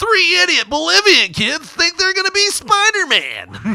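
The man's put-on character voice sits at an extremely high pitch and holds a moderate pace. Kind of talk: broadcast announcer. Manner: sensational, mocking, tabloid-style.

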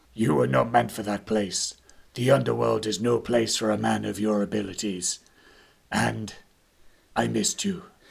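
A man's put-on character voice, fairly low in pitch, at a moderate pace with long, frequent pauses. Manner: solemn, gentle.

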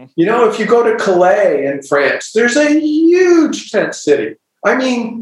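A man with an American accent, very wide pitch swings, and a fairly slow pace. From US Midwest, small-town Ohio. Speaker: novelist. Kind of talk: casual chat.

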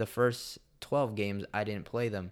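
A man's plain, everyday voice with an American accent, fairly low pitch and fairly even intonation, on a very clean recording with a silent background. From Washington DC area (DMV), Salvadoran heritage. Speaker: professional soccer player. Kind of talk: interview. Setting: studio.

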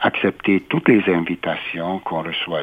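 The speaker talks at a fairly slow pace with a Hungarian accent. Noticeable background noise runs under the voice. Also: man. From Hungary, Budapest. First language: Hungarian (speaking French). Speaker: university president. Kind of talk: interview. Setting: studio.

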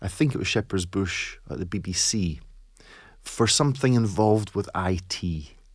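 A man with an Edinburgh accent and lively intonation, on a very clean recording with a silent background. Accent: Scottish (Edinburgh). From Scotland, East Lothian / Edinburgh. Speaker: teacher trainer and author. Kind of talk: casual interview chat.

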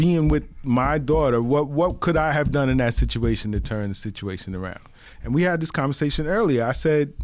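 Speaking in a New York accent, a man keeps a moderate pace at a medium pitch with ordinary pitch variation. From the Bronx, New York. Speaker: podcast co-host. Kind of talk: casual chat. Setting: studio.

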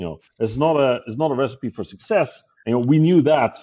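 A man with a Dutch accent, medium-pitched with a dark, mellow tone, very fast and lively in intonation. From Netherlands. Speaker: tech company CEO. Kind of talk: interview. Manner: halting.

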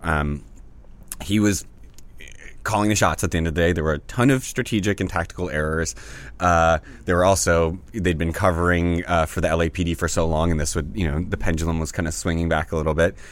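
A man with an American accent speaks at a very deep, low pitch with ordinary pitch variation. The recording is very clean, with a silent background. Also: fairly quick pace. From US South. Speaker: activist. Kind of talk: casual chat. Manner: halting.

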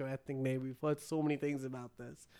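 In a very clean recording with a silent background, a man speaks in an animated tone. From Bangalore, India. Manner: animated, jokey, lighthearted.

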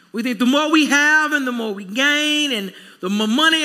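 A man's raised, projected voice comes at a fairly slow pace with ordinary pitch variation. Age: 40s. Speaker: pastor. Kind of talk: sermon.

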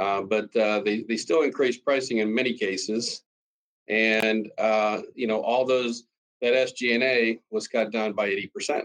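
With a Western Pennsylvania accent, a man of medium pitch talks at a very slow pace, keeping fairly even intonation and very even loudness. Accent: Western Pennsylvania American. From Pennsylvania, US. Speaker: cost optimization consultant. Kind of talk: interview. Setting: video call.

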